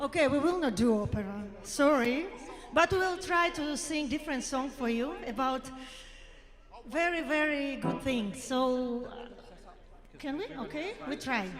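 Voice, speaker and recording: High-pitched female speech with lively intonation at a fairly slow pace, long and frequent pauses, audible room echo and music in the background. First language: non-English. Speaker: singer. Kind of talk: live event speech.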